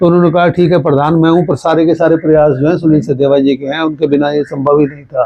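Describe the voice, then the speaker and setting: Here is a man with a plain, everyday voice, fairly high in pitch, with fairly even intonation. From Haryana, India (Hansi, Fatehabad). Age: 60s. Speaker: journalist. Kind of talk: interview.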